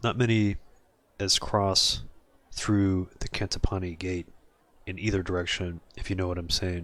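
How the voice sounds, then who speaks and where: A gravelly, put-on character voice speaks in a monotone, flat intonation at a moderate pace with long, frequent pauses. The recording is very clean, with a silent background. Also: man, very deep, low pitch for a man. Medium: game stream. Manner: terse, wry.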